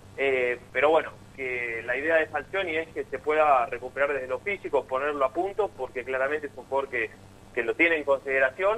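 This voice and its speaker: The man has an ordinary speaking voice, fairly high in pitch. He keeps a moderate pace with ordinary pitch variation. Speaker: football reporter. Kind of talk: sports radio discussion.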